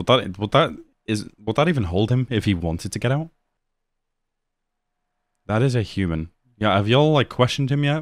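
A man's plain, everyday voice with lively intonation and a fairly quick pace against a quiet background. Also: dry sound with no echo. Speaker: reaction video host. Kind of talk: casual reaction commentary. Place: home room. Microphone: studio mic.

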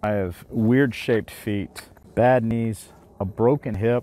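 Dry with no echo, a man's dark, mellow voice sits at a fairly low pitch with fairly even intonation. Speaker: gear reviewer. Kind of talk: product review talk. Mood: relaxed, conversational. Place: waterside.

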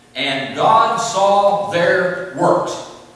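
A man's high-pitched voice with a fairly bright tone and strong room echo

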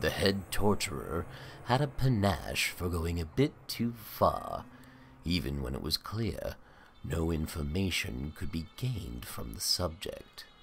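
A man puts on a character voice with a very deep, low pitch. He goes at a fairly slow pace, with clear background noise. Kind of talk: horror narration. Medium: read story. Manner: ominous, sardonic.

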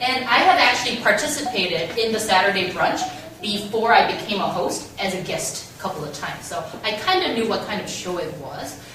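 Here a woman with a Korean accent talks at a fairly quick pace with lively intonation. Light background noise and audible room echo are present. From South Korea. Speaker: radio host and scriptwriter. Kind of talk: public talk. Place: meeting room. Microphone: camera far.

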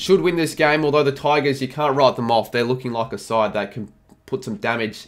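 The pace is fairly quick. A man talks with ordinary pitch variation. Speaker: sports tipping vlogger. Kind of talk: commentary. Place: home room.

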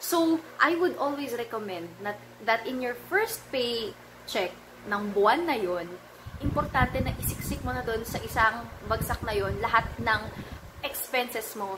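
Noticeable background noise sits behind a woman who speaks fairly slowly in a fairly high voice. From Philippines. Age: 20s. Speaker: personal finance vlogger. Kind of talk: vlog tutorial. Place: home room. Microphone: phone near.

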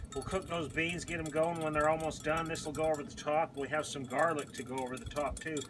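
A man at a fairly quick pace with fairly even intonation, against noticeable background noise. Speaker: home cook host. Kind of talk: cooking tutorial. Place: garden. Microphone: camera far.

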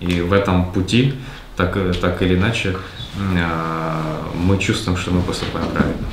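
A man speaks in a very deep, low pitch with fairly even intonation and long, frequent pauses. Noticeable background noise runs underneath. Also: fairly slow pace. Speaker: book club participant. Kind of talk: group book discussion. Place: meeting room.

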